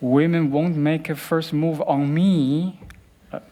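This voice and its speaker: A man with a Chinese accent speaks fairly slowly at a fairly high pitch. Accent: Chinese (Mandarin). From Beijing, China. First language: Mandarin Chinese. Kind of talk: TEDx talk.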